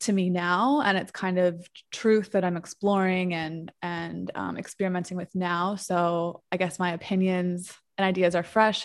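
Here a woman has a plain, everyday voice at medium pitch, with fairly even intonation and a moderate pace. The recording is very clean, the background silent. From New York. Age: 30s. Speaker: marketer and social media creator. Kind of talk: casual interview chat.

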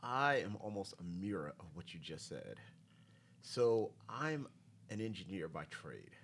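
A man with a normal speaking voice and an American accent, fairly low in pitch, with lively intonation, big swings in loudness and a fairly slow pace. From New York. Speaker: engineer. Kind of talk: casual chat. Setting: studio.

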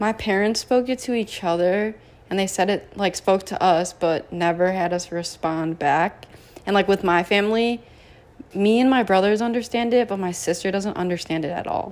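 The voice is an unremarkable speaking voice. It moves at a moderate pace with ordinary pitch variation. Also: woman, medium pitch for a woman. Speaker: student club officer. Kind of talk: casual chat.

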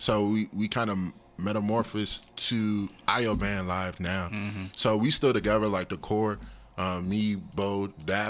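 Using an ordinary speaking voice, a man with an American accent talks at a fairly slow pace and fairly low pitch with fairly even intonation. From US, Nigerian parents. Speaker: drummer and counselor. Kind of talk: casual chat.

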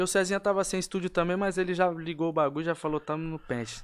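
A man's high-pitched voice at a very fast pace, ordinary pitch variation, on a very clean recording with a silent background. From São Paulo (Vila Maria, then Diadema). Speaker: rapper. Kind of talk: casual chat.

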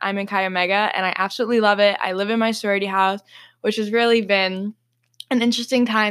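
A woman with an American accent talks at a fairly quick pace and a medium pitch, in a bright, sharp, animated tone. The recording is very clean, with a silent background. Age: 20s. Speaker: podcast co-host, college student. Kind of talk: casual chat. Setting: home bedroom.

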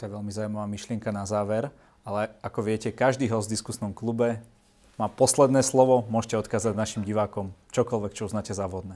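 Very fast, fairly low man's voice, dark and mellow in tone, monotone and flat, on a very clean recording with a silent background. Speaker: talk show host. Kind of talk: interview.

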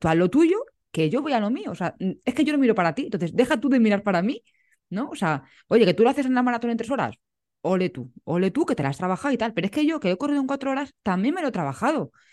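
A woman's fairly high voice, very fast with very wide pitch swings, against a quiet background. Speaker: podcast host. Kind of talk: casual interview chat.

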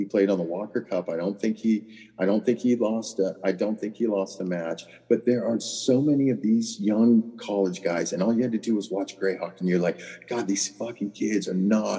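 A man with an American accent and a fairly low voice speaks at a moderate pace with ordinary pitch variation. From Southern California. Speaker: golf caddie. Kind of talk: casual chat.

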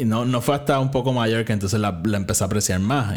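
There is a man speaking here, his voice somewhat breathy. His pitch varies in an ordinary way. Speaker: podcast host. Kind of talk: casual solo commentary.

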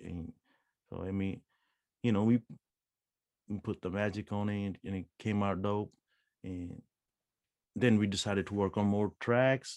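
A man speaks at a fairly low pitch with fairly even intonation and long, frequent pauses. The sound is dry and close, with no echo. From Punjab, India; moved to California at 14. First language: Punjabi. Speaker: rapper and music producer. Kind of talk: casual interview chat. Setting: remote call across time zones. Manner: casual, slangy.

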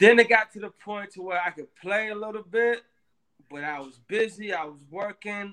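A man with a high pitch uses a raised, projected voice with a bright, sharp tone and big swings in loudness. His pace is moderate, and his pitch variation is ordinary. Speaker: musician. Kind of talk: interview.

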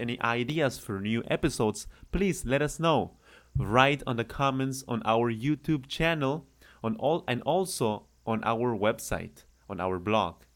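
Using lively intonation, a man with a Spanish accent and a medium pitch talks at a moderate pace on a very clean recording with a silent background. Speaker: Spanish teacher. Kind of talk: language lesson.

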